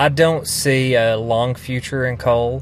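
Noticeable background noise sits behind a man's voice. He speaks at medium pitch with ordinary pitch variation. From Kentucky. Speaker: former coal miner. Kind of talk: interview.

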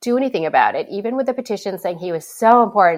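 Pitch swings very widely as a woman talks in an American accent. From northern Minnesota, Iron Range (Hibbing). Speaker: novelist. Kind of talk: interview. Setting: remote interview.

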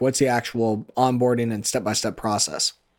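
A man speaks with an American accent in a plain, everyday voice, medium in pitch. He talks at a fairly quick pace on a very clean recording with a silent background. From Iowa. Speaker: farmer and podcast host. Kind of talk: casual chat.

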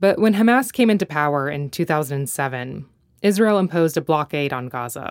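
In a very clean recording with a silent background, a woman talks with an American accent at a moderate pace. Her pitch is very deep and low, and her intonation is lively. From North Carolina, US. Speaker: podcast host and journalist. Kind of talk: narrated interview documentary. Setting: childhood bedroom and father's home office.

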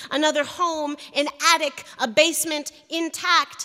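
A woman with an American accent speaks in a raised, projected voice. Her tone is bright and sharp, her pitch high. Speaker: poet. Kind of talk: poetry reading. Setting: stage with audience.

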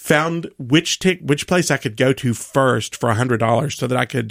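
Heard dry and close with no echo, a man with an American accent speaks with vocal fry. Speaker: laundry expert and vintage clothing store owner. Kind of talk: radio interview, casual chat. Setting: studio.

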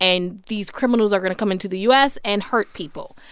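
A woman talks in a normal speaking voice at a medium pitch with ordinary pitch variation, on a very clean recording with a silent background. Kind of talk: casual political discussion.

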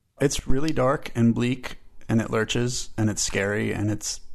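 An ordinary speaking voice from a man, medium in pitch, with fairly even intonation. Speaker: music critic. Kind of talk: interview.

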